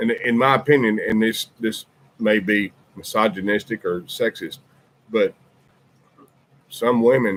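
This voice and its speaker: A man with a strong Southern US accent speaks, leaving long, frequent pauses. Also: fairly slow pace, dry, close sound with no echo. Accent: deep Southern. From US South, Birmingham, Alabama. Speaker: podcast host, military veteran. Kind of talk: casual chat.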